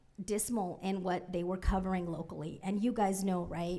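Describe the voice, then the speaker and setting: Over audible room echo, a woman with a Spanish accent talks fairly quickly at a medium pitch in a flat monotone. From Central California (Merced), born in Mexico. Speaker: former public radio reporter, journalism funder. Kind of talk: conference panel talk. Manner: many fillers (um, uh), repetitions.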